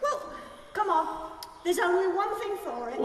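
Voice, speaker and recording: Using a put-on character voice, a woman speaks at an extremely high pitch and a moderate pace, with a clear echo. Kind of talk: comic sketch acting. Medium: stage play. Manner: sardonic, chatty.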